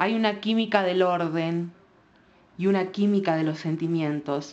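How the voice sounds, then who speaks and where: This woman speaks at a fairly slow pace. Her pitch varies in an ordinary way. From Argentina. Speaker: writer. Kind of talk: poetry reading.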